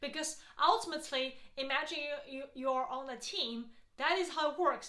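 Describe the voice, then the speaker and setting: A woman with a non-native accent projects a raised, bright, sharp voice, high in pitch with ordinary variation, at a fairly quick pace amid audible room echo. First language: not English. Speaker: healthcare strategy consultant and YouTuber. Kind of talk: advice talk to camera. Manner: casual, frequent fillers.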